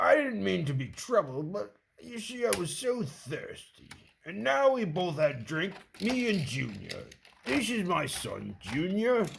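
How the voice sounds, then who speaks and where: The voice is a put-on character, pitched in the middle range. Its pace is fairly slow. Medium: solo performance.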